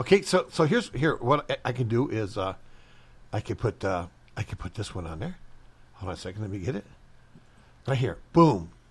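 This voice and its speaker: A man in an American accent, medium in pitch and somewhat breathy, at a fairly quick pace with long, frequent pauses and very wide pitch swings. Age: 60s. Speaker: radio host. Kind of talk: casual chat. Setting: studio.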